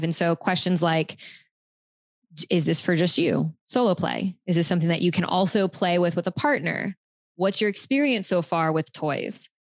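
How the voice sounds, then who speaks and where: The woman has a plain, everyday voice with fairly low pitch and ordinary pitch variation, recorded with a dry, close sound with no echo against a quiet background. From US South, Louisiana. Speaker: sex and relationship coach. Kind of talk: casual chat.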